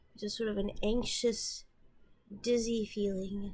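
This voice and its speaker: A woman mumbles in a somewhat breathy voice at medium pitch. Her intonation is monotone and flat. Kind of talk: casual talk to camera. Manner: mumbly, repetitive.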